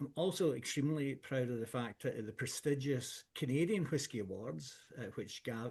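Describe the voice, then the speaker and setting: A man with a strong Scottish accent, somewhat breathy, at a moderate pace with ordinary pitch variation, against a quiet background. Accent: thick Scottish. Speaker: whisky blender. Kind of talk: product presentation. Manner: hesitant, many fillers.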